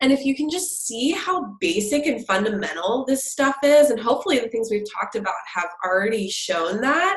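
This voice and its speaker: Music plays in the background as a woman speaks at a high pitch with very wide pitch swings. She keeps a moderate pace with hardly any pauses. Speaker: business coach. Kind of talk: interview testimony. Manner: tends to mumble some words.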